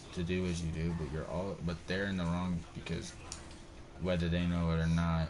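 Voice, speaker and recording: Very deep and low in pitch, a man talks at a moderate pace with fairly even intonation. Audible room echo surrounds his voice. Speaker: gaming streamer. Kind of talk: casual chat. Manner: halting; slight stutter.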